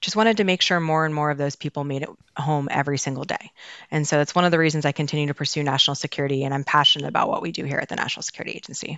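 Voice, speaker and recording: Her intonation stays fairly even as she talks at a very fast pace. The woman has an American accent and a very deep, low pitch. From Baltimore, Maryland, US. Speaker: cybersecurity official at a government agency. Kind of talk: podcast interview.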